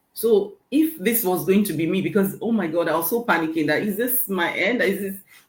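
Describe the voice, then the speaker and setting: A woman talks at a moderate pace in a medium pitch, her voice somewhat breathy and her intonation lively. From Nigeria. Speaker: registered nurse and online business owner. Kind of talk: interview testimony. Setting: live online interview panel.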